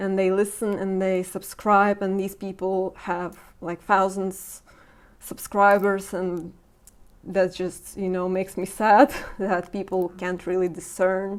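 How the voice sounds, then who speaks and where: A woman speaks very slowly at a medium pitch, her voice shaky. Her intonation stays monotone and flat. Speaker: podcast host. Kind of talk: casual interview conversation. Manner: shaky voice.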